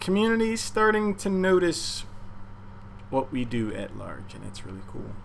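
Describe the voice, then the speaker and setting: A man with a fairly high voice speaks at a moderate pace, his pitch swinging very widely and his loudness rising and falling sharply, with audible room echo. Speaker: game streamer and caster. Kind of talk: casual livestream chat. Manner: quiet.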